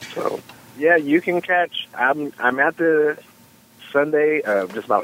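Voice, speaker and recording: A man speaks at a fairly slow pace. The sound is dry and close with no echo, and background noise is noticeable. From US East Coast, Washington DC. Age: 30s. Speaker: stand-up comedian. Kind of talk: casual chat.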